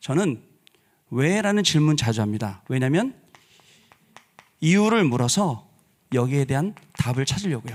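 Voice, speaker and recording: Fairly slow speech from a man with a fairly high pitch and very wide pitch swings. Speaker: pastor. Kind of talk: sermon. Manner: deliberately slowed down.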